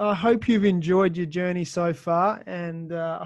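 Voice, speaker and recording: Fairly even in intonation, a man with an Australian accent speaks at a high pitch. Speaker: podcast host. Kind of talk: casual interview chat.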